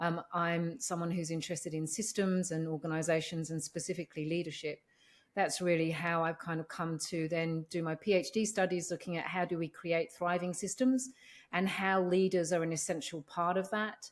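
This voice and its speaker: With an English accent, a woman talks at a moderate pace in a fairly low voice with fairly even intonation, on a very clean recording with a silent background. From London, England. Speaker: organisational psychologist. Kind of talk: interview.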